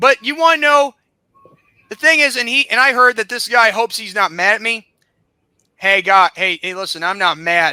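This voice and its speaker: Raising and projecting his high-pitched voice, a man talks with lively intonation and a bright, sharp tone, leaving long, frequent pauses, in a dry, close sound with no echo. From South Carolina. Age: 20s. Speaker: podcast host. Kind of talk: angry rant. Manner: animated.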